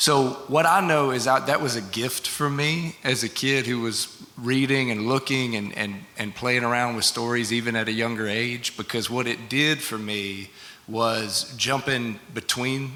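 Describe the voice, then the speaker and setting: Amid noticeable background noise, a man with a Southern US accent talks at a medium pitch with fairly even intonation. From Arkansas (Delta and River Valley). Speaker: novelist. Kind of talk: panel interview with audience.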